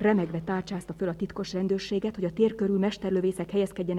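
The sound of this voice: This is an unforced reading voice with fairly even intonation.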